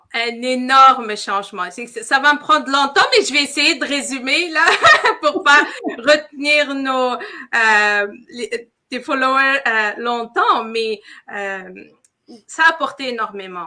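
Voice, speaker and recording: In a raised, projected voice with a bright, sharp tone, a woman speaks at a high pitch and very slow pace, her intonation lively and her loudness swinging widely. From Quebec, Montreal. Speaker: entrepreneur. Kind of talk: interview. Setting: live stream.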